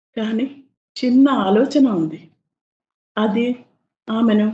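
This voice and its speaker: Her voice has a dark, mellow tone and a somewhat breathy quality. This woman speaks in a fairly high pitch with ordinary pitch variation. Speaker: voice actor. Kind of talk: storytelling narration.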